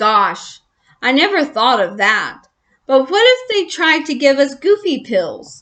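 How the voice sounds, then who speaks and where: A woman's put-on character voice, high in pitch with very wide pitch swings. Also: fairly slow pace. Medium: read story. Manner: meek, hesitant.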